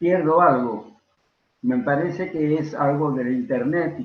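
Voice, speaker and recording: A man's voice with audible room echo. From Peru. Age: 90s. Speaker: veteran stage and film actor. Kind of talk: interview. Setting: video call. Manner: halting.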